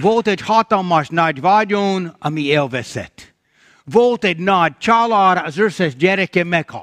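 Speaking with an English accent, a man uses a high pitch with ordinary pitch variation at a fairly slow pace. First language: English (speaking Hungarian). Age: old. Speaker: pastor. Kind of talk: sermon. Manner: halting.

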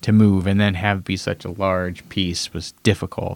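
A man with an unremarkable speaking voice talks at a moderate pace and a fairly low pitch. The sound is dry and close, with no echo. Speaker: podcast host recapping a TV show. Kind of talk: casual chat.

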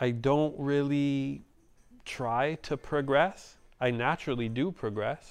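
Against a quiet background, a man speaks at a very slow pace with a Montreal accent. His pitch is fairly high, and his intonation fairly even. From Montreal, Canada (NDG neighbourhood). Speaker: DJ and graffiti artist. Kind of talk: casual chat.

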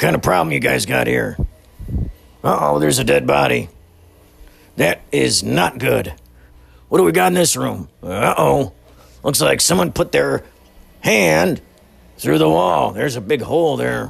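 Putting on a raspy character voice, a man speaks at a moderate pace with a very deep, low pitch, very wide pitch swings, and long, frequent pauses. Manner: gruff.

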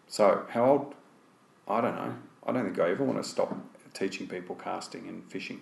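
The delivery moves at a fairly quick pace, broken by long, frequent pauses. Loudness swings widely throughout. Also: man. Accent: Australian. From Australia (Tasmania, Melbourne). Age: 50s. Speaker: fly fishing guide and casting instructor. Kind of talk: casual interview conversation. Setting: face to face sit-down.

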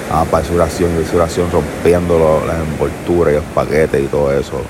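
Through noticeable background noise, a man speaks in a very deep, low voice with a Puerto Rican accent. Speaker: podcaster. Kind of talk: casual monologue. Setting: outdoors on a beach.

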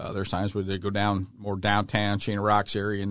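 Fairly low in pitch and fairly quick in pace, this man has an unremarkable speaking voice. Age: 60s. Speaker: outdoor store owner. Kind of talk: casual chat.

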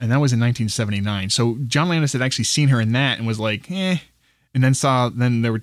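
At a very fast pace and with ordinary pitch variation, the voice comes through in a very clean recording with a silent background. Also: man. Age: 40s. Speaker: movie podcast co-host. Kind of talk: casual chat.

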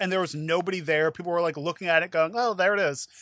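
A man's playful, high-pitched voice on a very clean recording with a silent background. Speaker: podcast host and judge. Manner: joking, playful.

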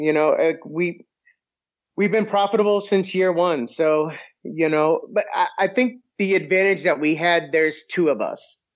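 Talking at a fairly slow pace, the man has an American accent. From Massachusetts, near Boston. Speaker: restaurant owner and podcaster. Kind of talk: casual chat.

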